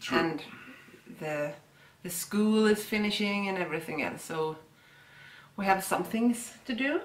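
Pausing long and often, a woman with a Swedish accent speaks with lively intonation. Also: medium pitch for a woman, fairly slow pace. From Sweden. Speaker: yarn dyer and shop owner; co-host. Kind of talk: casual chat.

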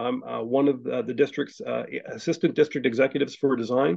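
Vocal fry runs through a man's fairly high-pitched voice as he speaks at a fairly quick pace. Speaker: transportation agency engineer. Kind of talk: presentation. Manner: halting, many repetitions.

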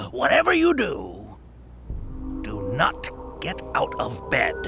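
A man speaks in a put-on character voice over clear music in the background. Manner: soothing, theatrical.

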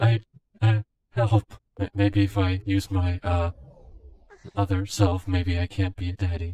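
A man's fairly low put-on character voice at a moderate pace, broken by long, frequent pauses. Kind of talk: in-game voice chat role play. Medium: role play. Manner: polite, hesitant, stammering.

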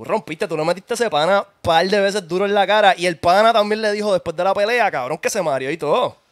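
Against a quiet background, a man talks very fast with hardly any pauses, his high voice showing ordinary pitch variation. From Puerto Rico. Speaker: podcast host. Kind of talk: casual chat. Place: home room. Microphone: studio mic.

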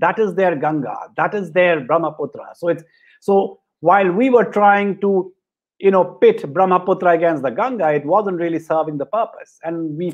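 A moderate pace against a quiet background. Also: man. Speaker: moderator introducing a panel. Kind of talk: panel introduction. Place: home room. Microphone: video call.

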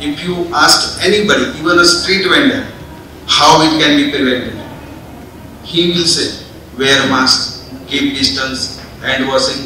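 Speaking with an Indian accent, a man uses a fairly high pitch and ordinary pitch variation at a fairly slow pace with long, frequent pauses, with audible room echo and light background noise. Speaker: doctor / conference speaker. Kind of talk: conference speech. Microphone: podium.

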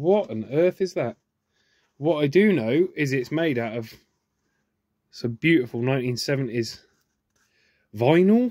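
Against a quiet background with a dry sound and no echo, a man with a southern English accent speaks at a very slow pace with long, frequent pauses. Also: fairly high pitch for a man. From southern England, Oxfordshire; southern England. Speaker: YouTuber. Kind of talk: unboxing video monologue. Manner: animated. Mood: curious, enthusiastic. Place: workshop. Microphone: phone near.

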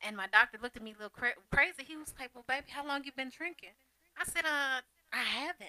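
A woman's raised, projected voice, high pitch and bright, sharp tone, at a very fast pace with ordinary pitch variation and big swings in loudness, in a dry sound with no echo. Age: 40s. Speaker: guest living with lupus. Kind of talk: casual chat. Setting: studio. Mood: animated storytelling. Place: studio. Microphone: headset.

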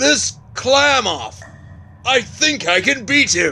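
Over clear background noise, a man does a cartoonish character voice at an extremely high pitch and a very slow pace. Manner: polite, formal.

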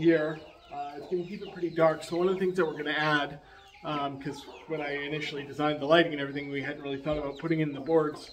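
Over noticeable background noise, a man speaks very fast in a monotone, flat delivery. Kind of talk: casual vlog chat. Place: farm machine. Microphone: earbuds.

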